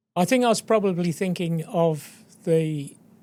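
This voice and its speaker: On a very clean recording with a silent background, a man speaks in a high pitch with an Australian accent. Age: 60s. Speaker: exploration geologist. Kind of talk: podcast interview.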